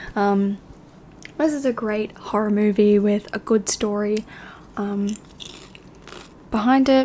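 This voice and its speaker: A soft-spoken woman at a fairly high pitch, very slow pace and relaxed tone, with long, frequent pauses. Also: fairly even intonation. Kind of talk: movie recommendation review, casual talk to camera. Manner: soft-spoken, relaxed.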